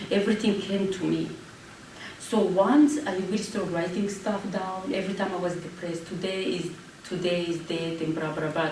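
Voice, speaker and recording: Over noticeable background noise and audible room echo, a woman speaks at medium pitch with fairly even intonation. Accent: French. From Rwanda. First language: French. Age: 40s. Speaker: genocide survivor and public speaker. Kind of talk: Q&A after a talk.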